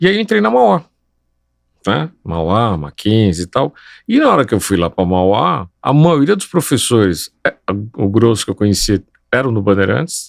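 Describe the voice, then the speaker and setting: A man speaks fairly slowly in a fairly low voice with very wide pitch swings and long, frequent pauses. The sound is dry and close with no echo, and music plays in the background. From Brazil, São Paulo. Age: 60s. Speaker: civil engineer. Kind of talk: interview conversation.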